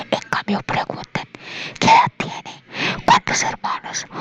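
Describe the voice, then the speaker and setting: A whisper at a fairly slow pace, with noticeable noise in the background. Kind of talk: whispered ASMR audiobook reading, sleep story. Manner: whispered, soft.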